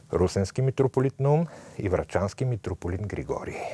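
A man speaks with lively intonation in a dark, mellow tone that is somewhat breathy, recorded dry with no echo. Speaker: priest, TV host. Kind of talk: reading an official church text. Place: studio. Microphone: lapel.

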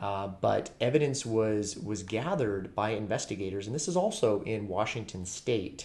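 This man's voice is somewhat breathy, with ordinary pitch variation. He talks fairly slowly. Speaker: true crime channel host. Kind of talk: commentary. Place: home room. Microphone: webcam.

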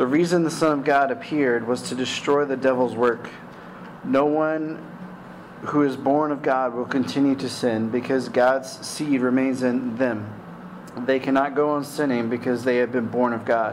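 A man with fairly even intonation, amid noticeable background noise. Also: moderate pace. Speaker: pastor. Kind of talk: scripture reading. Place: church. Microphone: podium.

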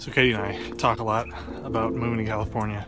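A man speaks over music in the background. His sound is dry with no echo. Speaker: vlogger. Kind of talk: casual vlog chat. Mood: reflective, musing. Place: street. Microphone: phone near.

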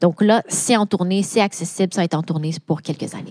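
A woman's fairly low, dark and mellow voice at a fairly quick pace, dry and close with no echo. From Quebec, Laval. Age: 30s. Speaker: AI and data consultant. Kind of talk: interview.

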